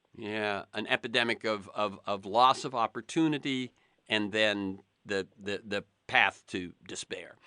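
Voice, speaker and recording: With an American accent and a bright, sharp tone, the speaker goes at a fairly slow pace with ordinary pitch variation in a dry, close sound with no echo over a quiet background. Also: man, fairly low pitch for a man. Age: 70s. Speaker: interviewer. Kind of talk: interview.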